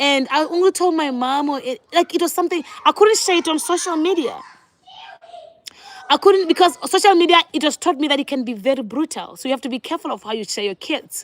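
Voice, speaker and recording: A woman speaks with a Botswana accent at a high pitch and a very fast pace. Her tone is animated and her intonation lively. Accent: Botswanan English. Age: 30s. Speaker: vlogger. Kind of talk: casual chat.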